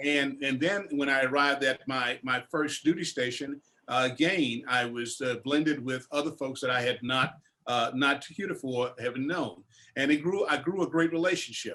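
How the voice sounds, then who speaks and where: Using a Southern US accent, a man with a fairly high pitch speaks with ordinary pitch variation. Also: moderate pace. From US South, northern Louisiana. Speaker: war veteran. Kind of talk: panel discussion. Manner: halting.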